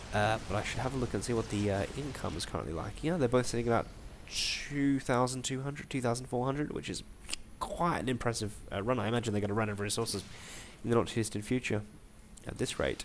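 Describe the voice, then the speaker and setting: A man with a medium pitch talks at a very fast pace with ordinary pitch variation, over noticeable background noise. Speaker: amateur esports commentator. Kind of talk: game commentary. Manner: hesitant, many filler words.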